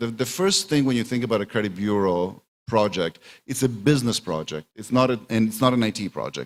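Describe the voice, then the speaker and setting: A man of medium pitch talks very fast with lively intonation in a very clean recording with a silent background. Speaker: conference speaker on credit bureaus. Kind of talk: conference presentation.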